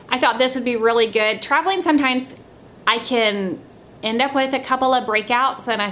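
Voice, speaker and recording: Against light background noise, a woman talks at a fairly quick pace in a bright, sharp tone. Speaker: beauty vlogger. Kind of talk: casual vlog chat. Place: home room. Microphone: camera far.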